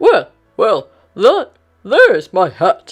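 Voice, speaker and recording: A put-on character voice with music in the background. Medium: read story.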